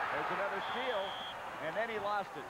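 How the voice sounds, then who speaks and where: Loud background noise surrounds a man speaking. The sound is dry, with no echo. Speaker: play-by-play sports announcer. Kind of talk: live commentary.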